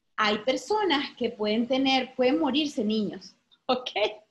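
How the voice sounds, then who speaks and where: A woman speaks at a fairly slow pace. Her voice is high in pitch. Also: long, frequent pauses, very even loudness. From Venezuela. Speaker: psychologist and therapist. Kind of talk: interview.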